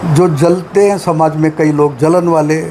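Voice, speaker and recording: Noticeable background noise runs behind this recording. A man speaks at a high pitch with fairly even intonation. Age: 80s+. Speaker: retired scientist and health lecturer. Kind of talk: interview.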